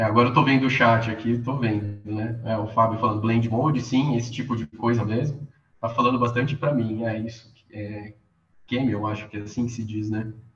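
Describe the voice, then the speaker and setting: A man speaks with monotone, flat intonation amid audible room echo. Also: medium pitch for a man, moderate pace. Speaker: media artist and master's student. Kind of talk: online workshop talk. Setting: video call. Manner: halting.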